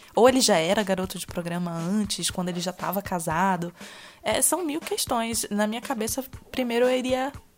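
With noticeable background noise behind her, a woman speaks at a moderate pace, her fairly high voice showing lively intonation. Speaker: podcast co-host. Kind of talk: casual chat.

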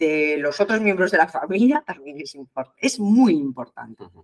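A woman speaks at a fairly quick pace with lively intonation in an unremarkable speaking voice. The sound is dry and close, with no echo. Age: 50s. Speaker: nurse and marathon runner. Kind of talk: interview. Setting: remote call.

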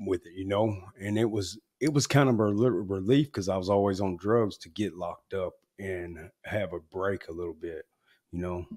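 This man speaks at a moderate pace in an Arkansas accent, with fairly low pitch, ordinary pitch variation, and a dry, close sound with no echo. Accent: Southern US (Arkansas). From Arkansas, US South. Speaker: former gang member in recovery. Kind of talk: interview, personal testimony.

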